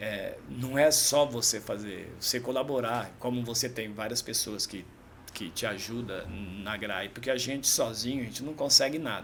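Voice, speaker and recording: This man's pitch is medium and varies in an ordinary way. He keeps to a moderate pace. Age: 50s. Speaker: amateur triathlete and shop owner. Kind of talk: casual chat. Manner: halting.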